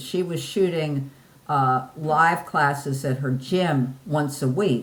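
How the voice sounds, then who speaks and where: A woman's somewhat breathy voice moves along at a very slow speed. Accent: American. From US Northeast, New Jersey. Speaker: podcast interview guest, online fitness poster. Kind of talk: casual interview chat. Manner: halting, frequent repeated words.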